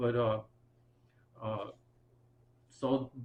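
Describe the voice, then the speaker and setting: With a New York accent, a man talks at medium pitch in a monotone, flat intonation. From Bronx, New York. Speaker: military veteran and retired teacher. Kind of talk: oral history interview answer.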